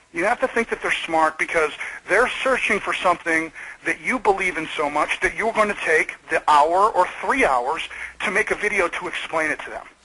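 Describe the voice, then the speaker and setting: A man speaks loudly in an animated tone, high-pitched with ordinary pitch variation. His pace is moderate, and there is noticeable background noise. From US Midwest, Michigan. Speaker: video marketing expert. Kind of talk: webinar interview. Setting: webinar call.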